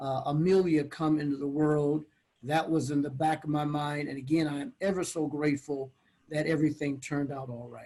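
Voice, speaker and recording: Delivery comes at a moderate pace. The intonation is monotone and flat. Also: man. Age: 60s. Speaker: pastor. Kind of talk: interview. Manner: halting.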